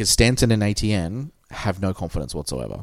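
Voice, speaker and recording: A man with an Australian accent at a moderate pace, in a very clean recording with a silent background. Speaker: podcast host. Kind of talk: casual chat. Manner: consciously lowered cadence.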